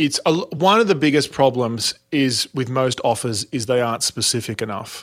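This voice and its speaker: In an Australian accent, a man speaks at a moderate pace and medium pitch. His pitch varies in an ordinary way, on a very clean recording with a silent background. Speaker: speaking and sales coach. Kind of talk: interview.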